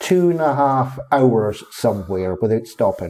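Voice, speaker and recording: A man talks at a very slow pace with a slight Scottish accent. His pitch swings very widely. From northeast Scotland, Fraserburgh. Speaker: council waste services officer. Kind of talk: casual interview chat.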